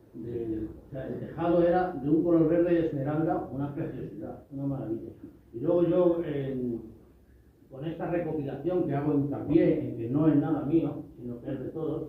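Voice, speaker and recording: A man with a fairly high pitch speaks at a moderate pace with fairly even intonation and big swings in loudness, audible room echo around his voice. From Spain, Torrejón (Madrid region). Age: 60s. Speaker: local history photo collector. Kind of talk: interview at public event. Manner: halting.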